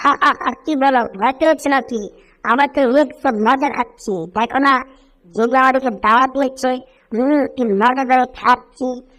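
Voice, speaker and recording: At a moderate pace, a female-sounding voice uses a high-pitched, put-on character voice in a very clean recording with a silent background. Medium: fan dub. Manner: cheerful, playful.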